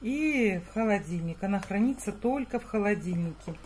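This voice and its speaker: There is light background noise. A somewhat breathy woman talks with lively intonation. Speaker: home cook vlogger. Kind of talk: casual cooking vlog chat. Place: kitchen. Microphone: phone near.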